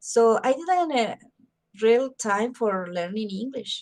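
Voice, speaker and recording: A woman with a Spanish accent speaks very slowly in a fairly high voice with ordinary pitch variation. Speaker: mental health promoter. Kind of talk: interview. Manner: halting.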